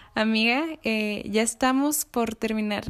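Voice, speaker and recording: This is a woman with a plain, everyday voice. She speaks at a fairly high pitch, with fairly even intonation. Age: 20s. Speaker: youth movement leader interviewing a friend. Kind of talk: casual interview.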